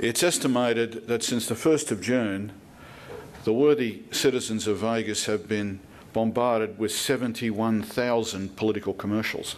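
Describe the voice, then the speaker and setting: Someone with an Australian accent speaks with fairly even intonation, and audible room echo can be heard. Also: man. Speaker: political commentator. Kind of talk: speech. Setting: stage with audience. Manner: formal.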